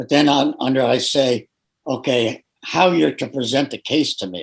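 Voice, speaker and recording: A man with a medium pitch, lively intonation, and vocal fry. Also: moderate pace. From New England. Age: 70s. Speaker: therapist. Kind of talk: interview. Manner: halting.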